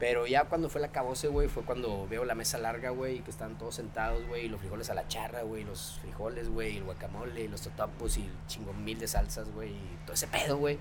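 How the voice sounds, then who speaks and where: A man with a northern Mexican accent speaks at a fairly quick pace. The audio has audible room echo and noticeable background noise. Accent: northern Mexican (norteño) Spanish. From Mexico, Sabinas Hidalgo, Nuevo León. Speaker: chef. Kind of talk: casual chat. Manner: very casual, filler-heavy speech.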